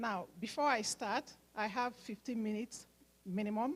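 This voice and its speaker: A woman speaks in a somewhat breathy voice. Her pitch is fairly high. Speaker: nurse and medical mission organizer. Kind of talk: speech at fundraising event.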